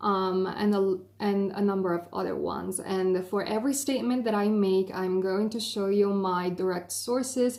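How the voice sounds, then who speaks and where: A woman with an Italian accent speaks at a moderate pace and a medium pitch, with ordinary pitch variation. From Italy. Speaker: YouTuber, film graduate. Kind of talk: explainer video. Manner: hesitant fillers.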